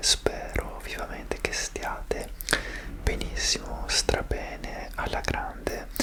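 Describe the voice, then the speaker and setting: A man's very slow whisper amid noticeable background noise. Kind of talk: ASMR chat. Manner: whispered.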